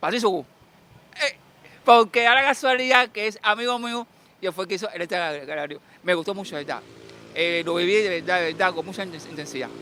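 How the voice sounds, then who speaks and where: Using a raised, projected voice, a man with a high pitch talks at a fairly quick pace with lively intonation and long, frequent pauses. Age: 70s. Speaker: person interviewed on the street. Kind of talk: street interview. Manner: halting, repetitive.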